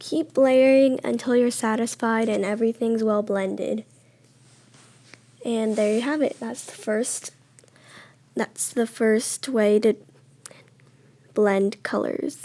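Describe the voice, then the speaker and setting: A woman's very slow, fairly high-pitched voice in a dark, mellow tone, with fairly even intonation and long, frequent pauses. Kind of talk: app tutorial voiceover.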